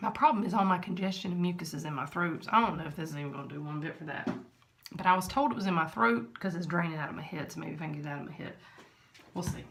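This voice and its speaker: Talking very fast with big swings in loudness, a woman with a fairly low pitch and ordinary pitch variation is heard with audible room echo. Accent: Southern US. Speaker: vlogger. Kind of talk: product test vlog. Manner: casual, chatty.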